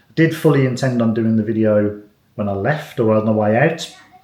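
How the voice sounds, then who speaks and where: Audible room echo surrounds a man's voice. His pitch is medium, with ordinary variation. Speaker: family vlogger. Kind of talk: casual chat. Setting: hotel room. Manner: soft-spoken.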